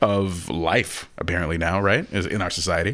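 A man with a very deep, low pitch, an animated tone and an American accent. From Texas. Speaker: actor and standardized patient. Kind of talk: casual chat. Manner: animated, laughs often.

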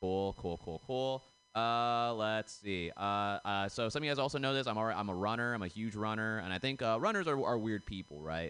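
An ordinary speaking voice from a man, fairly low in pitch, with lively intonation at a fairly quick pace. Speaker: comedian. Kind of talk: stand-up. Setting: stage with audience.

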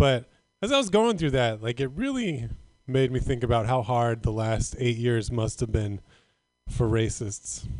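A man with an American accent talks at a moderate pace and medium pitch. His is an unremarkable speaking voice, with ordinary pitch variation. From Northern California. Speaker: comedian. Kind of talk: stand-up. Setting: stage with audience.

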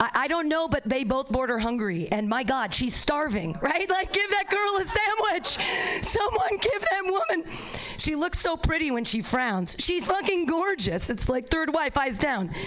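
Against noticeable background noise, a woman speaks at a fairly slow pace with hardly any pauses, her high pitch making very wide swings while her loudness stays very even. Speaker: comedy show host. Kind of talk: stand-up hosting. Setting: stage with audience. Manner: animated.

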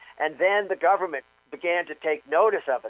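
Music is playing behind the voice. A man talks at a moderate speed. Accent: American. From New York. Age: 60s. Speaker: author. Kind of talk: interview. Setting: phone call.

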